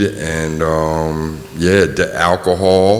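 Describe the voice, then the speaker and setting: A man with a very deep, low pitch speaks in a monotone, flat intonation, with audible room echo and noticeable background noise. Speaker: person in addiction recovery. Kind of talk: testimony. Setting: community forum in a gym, audience. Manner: halting, many fillers.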